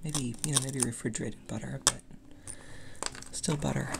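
The speech moves at a moderate pace while loud background noise fills the recording. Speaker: 3D printing hobbyist. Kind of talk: casual hobbyist demo talk. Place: workshop. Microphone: phone near.

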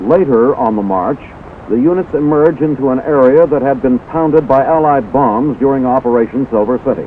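A man with ordinary pitch variation speaks at a fairly quick pace as noticeable background noise continues behind him. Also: medium pitch for a man. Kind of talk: scripted newsreel narration. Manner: formal, brisk, authoritative announcer delivery.

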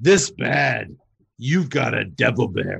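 A put-on character voice from a man, raspy and medium-pitched, at a fairly slow pace. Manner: exaggerated, cartoonish.

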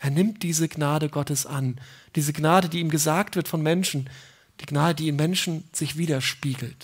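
A somewhat breathy woman with a warm tone and very deep, low pitch, ordinary pitch variation, a moderate pace and a quiet background. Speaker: preacher. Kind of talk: sermon in church, explaining a Bible passage. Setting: church. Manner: warm, conversational, earnest; emphatic, repeating key phrases. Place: open country.

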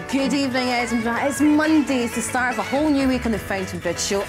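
Over clear music in the background, a woman with a Scottish accent speaks very fast in a confident tone at a high pitch with ordinary pitch variation. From Scotland. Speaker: TV presenter. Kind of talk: live TV show presenting. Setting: studio. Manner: natural, confident. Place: studio. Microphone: lapel.

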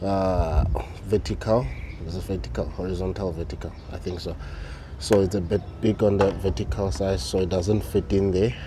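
A man speaks at a moderate pace in a very deep, low pitch. The sound is dry with no echo, though noticeable background noise is present. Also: ordinary pitch variation. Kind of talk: casual vlog chat. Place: street. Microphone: phone near.

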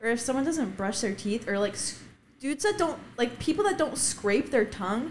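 Over noticeable background noise, a woman speaks at a moderate pace in a high pitch with very wide swings. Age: 20s. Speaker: adult film performer. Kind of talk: casual chat. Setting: studio.

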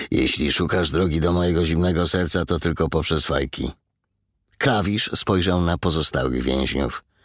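With a dramatic tone and vocal fry, a man speaks at a moderate pace with a very deep, low pitch and very even loudness. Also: ordinary pitch variation, very clean recording, silent background. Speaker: audiobook narrator. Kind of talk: audiobook reading, dramatic narration of a crime novel. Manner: dramatic, tense, suspenseful narration.

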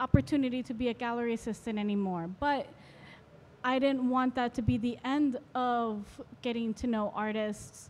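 With an American accent, a woman talks at a high pitch with fairly even intonation. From Florida. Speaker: photographer. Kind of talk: interview. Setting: art fair. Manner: hesitant, filler-heavy. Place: hall. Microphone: handheld.

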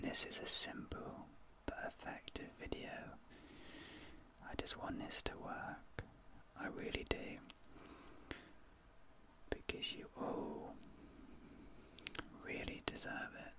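Whispering in a soft-spoken, soothing tone, the speaker leaves long, frequent pauses amid loud background noise. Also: man. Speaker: ASMR creator. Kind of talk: soft sleep-aid ASMR talk. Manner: soft deep whisper, slow and soothing. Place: home room.

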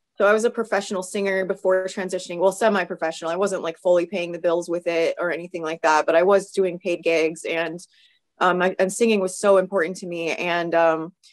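Hoarse and raspy, a woman speaks at a fairly low pitch with fairly even intonation. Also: fairly quick pace.

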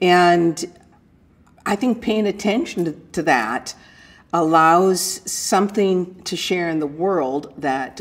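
Ordinary pitch variation in a woman's voice pitched fairly low. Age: 60s. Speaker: retired psychologist and textile artist. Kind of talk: reflective first-person life story, an older woman musing warmly on aging and her art. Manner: musing and searching, with many 'I mean', 'you know' and 'um' fillers and restarts; good-humored, breaks into light self-deprecating laughter. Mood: calm, reflective. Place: studio.

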